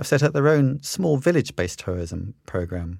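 Very wide pitch swings from a man's medium-pitched voice at a fairly quick pace, in a very clean recording with a silent background. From England. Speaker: travel company founder. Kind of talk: interview answers.

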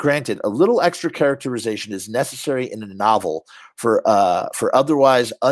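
This clip has reading aloud in a natural voice.

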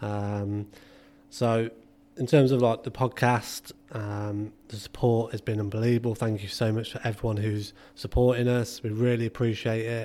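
In an English accent, a man speaks at a moderate pace with a medium pitch, a dark, mellow tone and monotone, flat intonation. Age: 30s. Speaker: podcast host, football physio. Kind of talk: casual chat.

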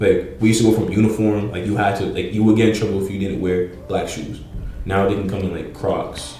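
Amid noticeable background noise and audible room echo, a man with an American accent talks at a fairly quick pace in a fairly low pitch with monotone, flat intonation. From Pawtucket, Rhode Island, US. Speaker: streetwear creator and musician. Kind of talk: casual chat.

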